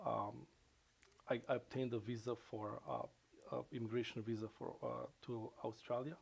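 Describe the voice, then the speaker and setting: A man speaks with a Macedonian accent. He talks at a moderate pace. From North Macedonia. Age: 40s. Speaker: professor. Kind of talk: interview. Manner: halting.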